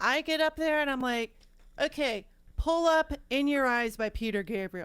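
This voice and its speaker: Her intonation is lively. She is a woman with an American accent. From California. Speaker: piano streamer and singer. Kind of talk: casual chat.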